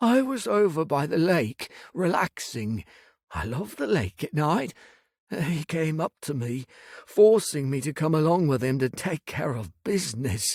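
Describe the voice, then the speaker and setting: A man in a put-on character voice, fairly high in pitch, at a moderate pace. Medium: read story. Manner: meek, apologetic.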